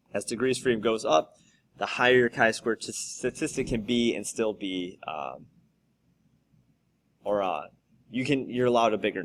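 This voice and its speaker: A man at a medium pitch and moderate pace, with ordinary pitch variation and long, frequent pauses, on a very clean recording with a silent background. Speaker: high school statistics teacher. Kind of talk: tutorial.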